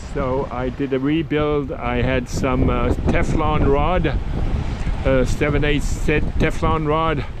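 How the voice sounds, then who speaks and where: Against noticeable background noise, the speech moves at a very slow pace with hardly any pauses. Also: man. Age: 80s+. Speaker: solo sailor. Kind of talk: casual talk to camera. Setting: outdoors. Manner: hesitant, halting.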